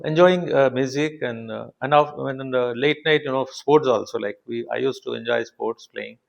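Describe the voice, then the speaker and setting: Speaking at a moderate pace with hardly any pauses, a man with a Telugu accent shows big swings in loudness. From India, Telugu-speaking south. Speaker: engineering professor and institute director. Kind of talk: interview conversation. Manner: halting, many fillers.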